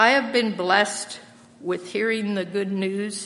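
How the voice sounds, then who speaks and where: A woman with an American accent talks at a fairly slow pace in an ordinary speaking voice. Her pitch is medium and her intonation fairly even. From Lancaster County, Pennsylvania. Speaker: church member sharing testimony, retired English teacher. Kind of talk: testimony. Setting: church.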